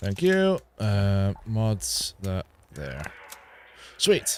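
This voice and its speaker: A man's mumbling at a very slow pace, fairly low in pitch. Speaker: gaming streamer. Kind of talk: live gameplay stream commentary. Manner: casual, thinking aloud.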